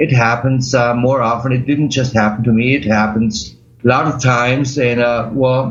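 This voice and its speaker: In an audible room echo, a man with a German accent speaks with fairly even intonation. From Germany. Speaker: accident survivor, medical cannabis patient. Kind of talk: interview. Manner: halting.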